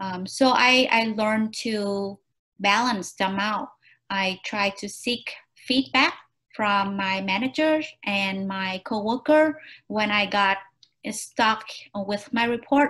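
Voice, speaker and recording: A woman with a Vietnamese accent speaks at a very slow pace in a bright, sharp tone, with ordinary pitch variation and long, frequent pauses. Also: fairly high pitch for a woman, very clean recording, silent background. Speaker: job interview candidate. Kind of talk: mock job interview answers. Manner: halting, many fillers.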